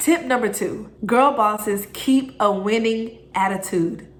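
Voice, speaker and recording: Audible room echo colors the speech of a woman whose pitch varies in an ordinary way. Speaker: self-improvement YouTuber. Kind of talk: motivational vlog tutorial.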